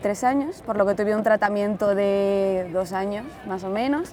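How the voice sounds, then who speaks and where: A woman's speech shows ordinary pitch variation, heard against noticeable background noise. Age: 20s. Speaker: cancer patient, pharmacy student. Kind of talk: documentary interview testimony.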